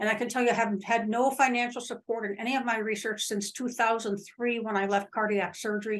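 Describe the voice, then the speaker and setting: The speech runs on with hardly any pauses, its intonation flat and monotone. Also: woman. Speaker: retired surgeon, lecturer. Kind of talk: lecture. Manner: fast.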